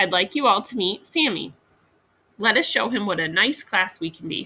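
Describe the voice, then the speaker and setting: A female-sounding, put-on character voice speaks at a medium pitch for a woman and a moderate pace. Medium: read story. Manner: calm, prim.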